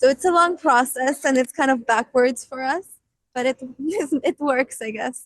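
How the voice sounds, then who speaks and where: A woman with a high voice speaks at a moderate pace, with long, frequent pauses. Her pitch varies ordinarily, and the sound is dry and close with no echo. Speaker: rock band vocalist and keyboardist. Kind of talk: interview.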